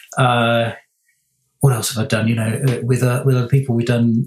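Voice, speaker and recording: Here a man speaks in a somewhat breathy voice. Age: 50s. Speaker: product designer. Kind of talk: casual chat. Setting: remote call. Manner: halting.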